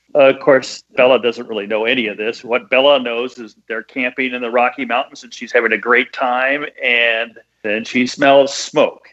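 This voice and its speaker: A man with an American accent speaks at a moderate pace and medium pitch, with hardly any pauses. His bright, sharp tone stays in a monotone, flat intonation while his loudness swings widely. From US Midwest. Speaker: bestselling author and screenwriter. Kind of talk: casual interview. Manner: clear enunciation.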